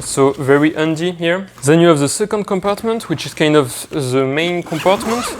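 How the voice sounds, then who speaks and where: Someone with a French accent speaks at a moderate pace with hardly any pauses. Noticeable background noise runs underneath. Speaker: product reviewer. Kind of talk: product review tutorial. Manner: hesitant with fillers.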